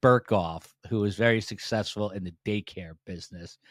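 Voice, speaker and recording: At a moderate pace, a man with a normal speaking voice and fairly low pitch keeps a fairly even intonation, the sound dry and close with no echo in a very clean recording with a silent background. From US Northeast, New Jersey. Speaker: podcast host and former TV news reporter. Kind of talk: casual interview chat. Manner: many filler words, uh and um.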